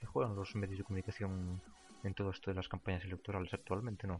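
A man with a Galician accent. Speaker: podcast host. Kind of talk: casual chat.

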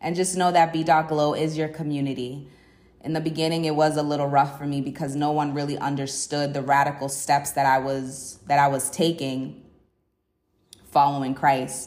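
A woman talks at a moderate pace in a very deep, low pitch, her intonation monotone and flat. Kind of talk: solo faith podcast monologue.

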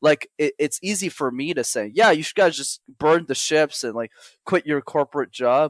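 This man's voice sits fairly high, with ordinary pitch variation at a moderate pace. The sound is dry and close, with no echo. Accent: Montreal. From Montreal, Canada. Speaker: public speaking coach. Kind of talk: podcast interview. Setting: call.

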